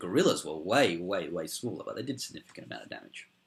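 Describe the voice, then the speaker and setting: This voice carries an Australian accent. It moves at a fairly quick pace. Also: man. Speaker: history youtuber. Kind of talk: casual explainer talk. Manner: hesitant, many ums.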